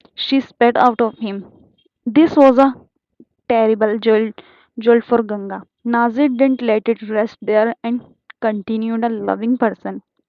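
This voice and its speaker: A woman with an Indian accent, a fairly high pitch, and monotone, flat intonation. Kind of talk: audiobook reading.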